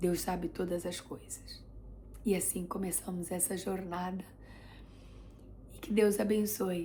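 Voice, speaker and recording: A woman speaks at a medium pitch in a monotone, flat intonation with vocal fry. Audible room echo surrounds her voice. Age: 40s. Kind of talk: religious testimony vlog.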